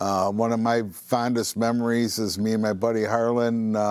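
A man with an American accent speaks at a very slow pace, medium pitch and fairly even intonation. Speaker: store manager. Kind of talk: casual interview.

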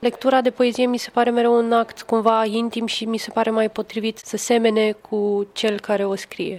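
A woman speaks at a fairly high pitch and a moderate pace. Her delivery is monotone and flat, with hardly any pauses. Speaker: poet. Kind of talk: casual chat. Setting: hotel lobby.

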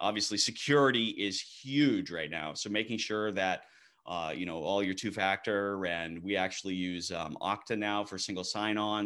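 With an American accent, a man of fairly low pitch speaks at a moderate pace with hardly any pauses, on a very clean recording with a silent background. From Maine, US. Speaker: IT company founder and CEO. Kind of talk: podcast interview.

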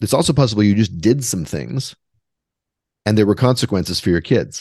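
A man with a Canadian accent speaks at a fairly quick pace in a normal speaking voice. His pitch is fairly low, his intonation lively, and the background is quiet. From Western Canada, Vancouver. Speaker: author and composer. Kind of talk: interview conversation.

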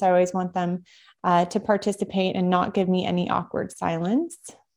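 A woman at medium pitch, monotone and flat in intonation, at a moderate pace over a quiet background. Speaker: physical therapist and health podcaster. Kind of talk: lecture.

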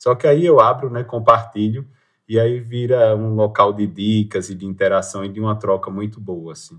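Over a quiet background, a man talks at a moderate pace and a medium pitch. His pitch varies in an ordinary way while his loudness swings widely. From Pernambuco, Brazil (Agreste, Limoeiro). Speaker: public prosecutor and traveler. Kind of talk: interview. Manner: halting.

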